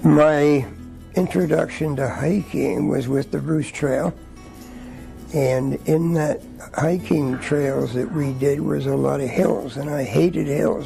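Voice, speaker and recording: Music playing behind a man's fairly slow delivery. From Quebec, Montreal area. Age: 70s. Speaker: retiree. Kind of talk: interview talk. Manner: halting.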